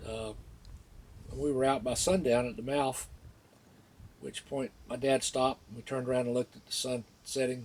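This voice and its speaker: A man with a Florida accent speaks at a moderate pace and medium pitch with fairly even intonation. He leaves long, frequent pauses, and his loudness swings widely. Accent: Southern US (Florida). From northeast Florida. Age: 60s. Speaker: local resident telling a memory. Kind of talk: personal storytelling. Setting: outdoors by the water. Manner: casual, with many fillers.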